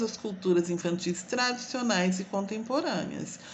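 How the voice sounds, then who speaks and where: With an interior São Paulo accent, the speaker moves at a moderate pace through very wide pitch swings, amid noticeable background noise and audible room echo. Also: woman. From Brazil, interior of São Paulo state. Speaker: teacher educator. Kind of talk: lecture. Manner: casual, with fillers.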